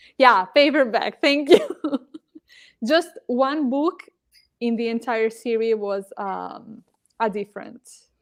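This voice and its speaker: With a non-native accent, a woman speaks at a very slow pace, leaving long, frequent pauses. Her fairly high pitch has ordinary variation, and her loudness swings widely. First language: not English. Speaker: readathon cohost. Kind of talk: casual chat. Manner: halting.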